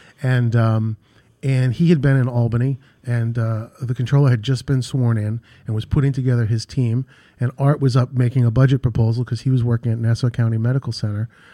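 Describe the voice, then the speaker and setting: Speaking fairly quickly in a New York accent, a man uses a medium pitch and a dark, mellow tone with flat, monotone intonation, recorded with a dry, close sound with no echo. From New York, Queens / Long Island. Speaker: real estate executive. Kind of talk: radio interview.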